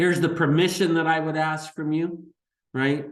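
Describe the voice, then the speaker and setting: A man's voice with audible room echo. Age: 60s. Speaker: chiropractor and practice business coach. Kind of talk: webinar sales presentation. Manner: low-key, not very rah rah.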